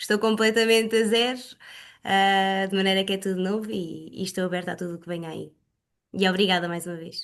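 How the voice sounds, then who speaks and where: With a normal speaking voice, a woman talks at a fairly quick pace and medium pitch, her intonation fairly even against a quiet background. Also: big swings in loudness. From Portugal, Leiria. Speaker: exercise and pilates instructor. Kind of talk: self-introduction in online group meeting.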